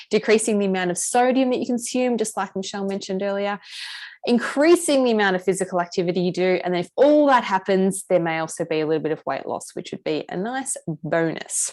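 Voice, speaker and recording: A woman with an Australian accent talks at a very fast pace. Her medium-pitched voice has lively intonation. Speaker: nutritionist running a health program. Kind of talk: online group session presentation.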